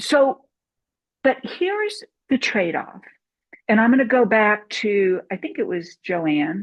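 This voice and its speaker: With long, frequent pauses and a fairly slow pace, a woman in an American accent speaks at a fairly high pitch with very wide pitch swings. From US Midwest, Saint Louis. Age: 60s. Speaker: documentary filmmaker. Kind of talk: casual talk. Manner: animated.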